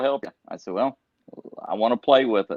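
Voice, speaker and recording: With an American accent, a man talks at a very fast pace with ordinary pitch variation. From Iowa. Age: 60s. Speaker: professional tournament angler. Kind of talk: podcast interview.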